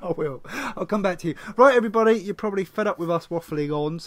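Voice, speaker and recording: Talking at a very fast pace, a man with an Essex accent uses a high pitch with ordinary pitch variation. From East End of London. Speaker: podcast host. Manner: casual, sweary banter.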